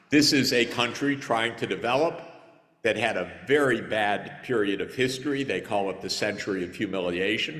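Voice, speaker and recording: A man with an American accent, medium-pitched and lively in intonation, at a moderate pace with audible room echo. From United States. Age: 60s. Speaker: conference speaker, economist. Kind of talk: conference panel answer.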